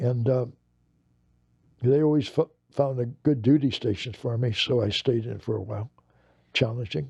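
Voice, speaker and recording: Somewhat breathy, a man with an American accent keeps a moderate pace and ordinary pitch variation, broken by long, frequent pauses. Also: medium pitch for a man. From US West (Los Angeles). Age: 80s+. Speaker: war veteran. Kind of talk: interview. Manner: halting, with repetitions.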